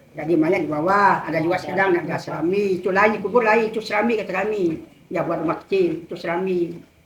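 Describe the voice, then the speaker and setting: Over noticeable background noise and audible room echo, a woman talks at a very fast pace with hardly any pauses, a medium pitch and fairly even intonation. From Indonesia, West Kalimantan, Kapuas Hulu. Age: 70s. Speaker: village elder, former customary leader. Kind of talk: casual interview about local lore.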